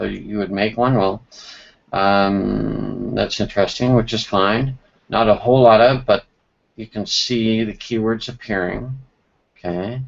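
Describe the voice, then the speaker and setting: Man at a medium pitch, fairly slow pace and fairly even intonation. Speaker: SEO consultant. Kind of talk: screen-share tutorial. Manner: casual, halting with fillers.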